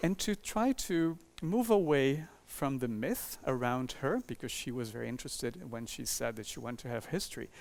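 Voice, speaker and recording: A man with a Portuguese accent speaks at a moderate pace and medium pitch, with lively intonation. The recording is very clean, with a silent background. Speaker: architecture professor and author. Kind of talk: lecture. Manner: halting, with many fillers.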